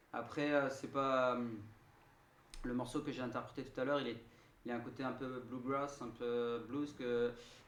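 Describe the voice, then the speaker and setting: Amid audible room echo, a man at a medium pitch talks at a fairly slow pace with monotone, flat intonation and long, frequent pauses. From southern France, Marseille. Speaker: singer-songwriter. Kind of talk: radio interview. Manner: halting, many hesitations.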